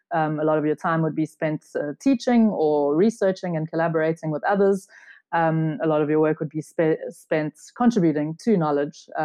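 A woman speaks at a moderate pace with a very deep, low pitch. Her pitch moves with ordinary variation. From South Africa. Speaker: theoretical physicist and research organization founder. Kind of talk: interview. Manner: hesitant with frequent 'um' fillers.

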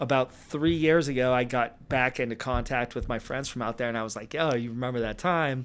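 Speaking with an American accent, a man with an ordinary speaking voice keeps a fairly quick pace at a medium pitch. His intonation is fairly even, and the recording is very clean with a silent background. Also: hardly any pauses. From Los Angeles, San Fernando Valley. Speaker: bartender and DJ. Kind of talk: casual chat.

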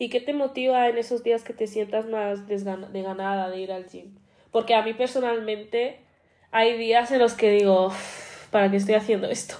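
A woman's fairly high voice with a dark, mellow tone, big swings in loudness, fairly even intonation and a moderate pace against a quiet background. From Spain, Madrid. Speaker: podcast co-host. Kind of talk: casual chat.

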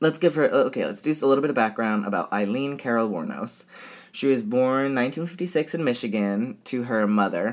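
Here a man talks at a medium pitch with ordinary pitch variation. His is an unremarkable speaking voice. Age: 20s. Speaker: podcast host, drag queen. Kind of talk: casual true crime storytelling.

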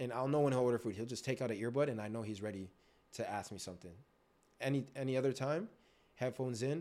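A man with a dark, mellow tone at a very fast pace. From Canada, Greater Toronto Area (Scarborough, Markham), Ethiopian family. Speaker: bartender. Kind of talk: casual interview, life story.

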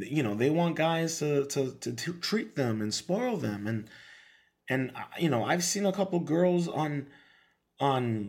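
The voice belongs to a man and sits fairly high in pitch. It has lively intonation. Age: 30s. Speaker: podcast host and beatmaker. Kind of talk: casual monologue rant. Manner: halting, many fillers and repeats.

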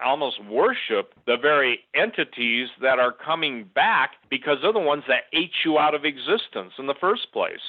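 Moderate pace and lively intonation from a man with a plain, everyday voice. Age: 60s. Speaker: author and researcher. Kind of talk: casual chat.

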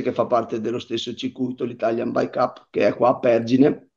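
At a moderate pace, a man talks in a medium pitch with a normal speaking voice. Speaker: mountain bike racer. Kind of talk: casual interview on a live stream.

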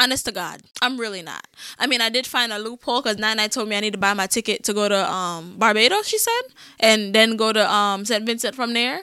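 A woman's bright, sharp, fairly high voice at a very fast pace with fairly even intonation, in a very clean recording with a silent background. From Jamaica. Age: 20s. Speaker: podcast host. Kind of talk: casual chat. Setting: studio.

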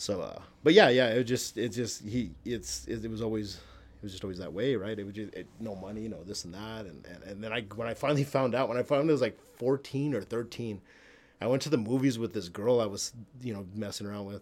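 Speaking at a fairly quick pace, a man uses a medium pitch with ordinary pitch variation. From El Paso, Texas. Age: 40s. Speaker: comedian and photographer. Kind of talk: casual chat. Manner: animated, profane.

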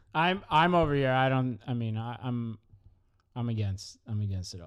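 A man speaks at a medium pitch in an ordinary speaking voice, captured on a very clean recording with a silent background. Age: 20s. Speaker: podcast co-host. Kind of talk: casual chat.

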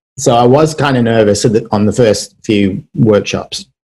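A somewhat breathy, medium-pitched man with an English accent and ordinary pitch variation. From England, Birmingham. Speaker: wedding and music photographer. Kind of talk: casual chat.

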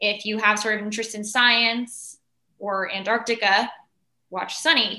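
A woman has a bright, sharp tone and a fairly high pitch. She speaks at a fairly slow pace with fairly even intonation. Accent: Californian. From Los Angeles. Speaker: entertainer. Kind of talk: casual chat.

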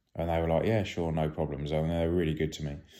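With a British accent, a man speaks in a dark, mellow tone at a very deep, low pitch and a monotone, flat intonation, on a very clean recording with a silent background. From UK. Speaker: retired police officer. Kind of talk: storytelling. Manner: halting.

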